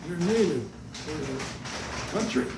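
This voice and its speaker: Background noise is noticeable throughout. A man does the talking. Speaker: retired naval captain. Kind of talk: interview answer. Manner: hesitant.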